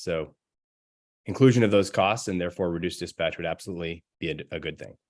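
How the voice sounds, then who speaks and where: Against a quiet background, a man talks in a very deep, low pitch. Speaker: expert witness. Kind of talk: witness testimony. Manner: fast.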